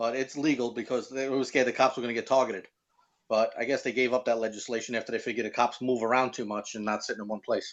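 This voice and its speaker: Against a quiet background, a man with a Brooklyn accent talks at a very fast pace in a monotone, flat intonation at a medium pitch. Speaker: car enthusiast and website owner. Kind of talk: casual chat.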